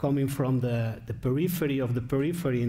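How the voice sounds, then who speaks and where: With audible room echo, a man talks at a fairly quick pace, his medium pitch showing ordinary pitch variation. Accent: Spanish. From Spain. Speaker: philosopher, keynote speaker. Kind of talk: lecture. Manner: halting, with many fillers.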